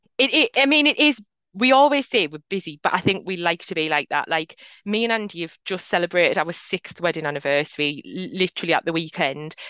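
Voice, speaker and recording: A woman's bright, sharp voice at a fairly quick pace, with very wide pitch swings, over a quiet background. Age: 30s. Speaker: mental health adviser and business owner. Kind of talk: casual interview chat.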